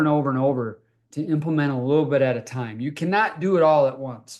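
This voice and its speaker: Here is an ordinary speaking voice from a man with a fairly high pitch. He keeps a moderate pace and ordinary pitch variation. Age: 60s. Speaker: health company founder and podcast host. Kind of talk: motivational talk with sales pitch. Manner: conversational, frequent fillers.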